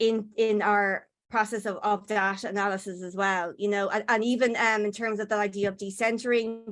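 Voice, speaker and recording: In an Irish accent, a woman speaks at a moderate pace with a fairly high, monotone voice and flat intonation, on a very clean recording with a silent background. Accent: Irish, software struggles with it. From Ireland. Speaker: postdoctoral researcher. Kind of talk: conference presentation. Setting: conference session. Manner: hesitant, many fillers and repetitions.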